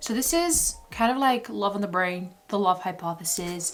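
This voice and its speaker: Over noticeable background noise, a woman with a non-native accent talks at medium pitch, her intonation lively. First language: not English. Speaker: book vlogger. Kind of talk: casual vlog talk. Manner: chatty, casual.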